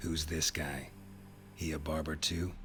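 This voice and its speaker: A man's put-on character voice with a very deep, low pitch at a moderate pace over loud background noise. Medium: video game. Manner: terse, dry, blunt.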